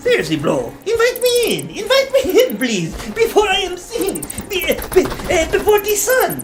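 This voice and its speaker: A put-on character voice with extremely high pitch moves at a moderate pace over clear background noise. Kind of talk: comic overacting. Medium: solo performance. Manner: pleading, bro-speak, hammy.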